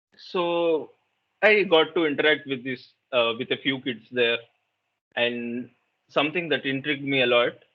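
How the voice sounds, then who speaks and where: A man speaks with a Telugu accent at a fairly high pitch. His pace is moderate and his pitch varies in an ordinary way. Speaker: meditation workshop facilitator. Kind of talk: interactive workshop talk.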